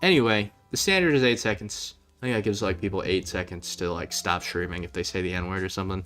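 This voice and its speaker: A man's fairly low voice at a very fast pace with ordinary pitch variation, music playing in the background. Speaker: streamer. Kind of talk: casual chat. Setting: live stream.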